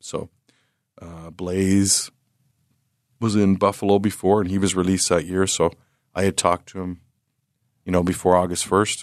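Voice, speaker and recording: With a Canadian accent, a man speaks at a moderate pace in a very deep, low pitch and a monotone, flat intonation, the sound dry and close with no echo against a quiet background. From Canada. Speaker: lacrosse head coach and retired police officer. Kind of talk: interview. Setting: studio. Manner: casual, filler-heavy.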